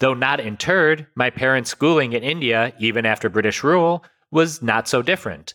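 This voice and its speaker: A man talks in a normal speaking voice of medium pitch, at a moderate pace with lively intonation. The sound is dry and close, with no echo. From United States, Indian heritage. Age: 30s. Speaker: podcast host. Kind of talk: scripted narration and casual discussion.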